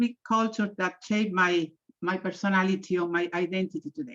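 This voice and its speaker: A woman at medium pitch with a strong Spanish accent, at a moderate pace. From Chile. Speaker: intercultural trainer and coach. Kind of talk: webinar presentation. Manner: halting, many fillers.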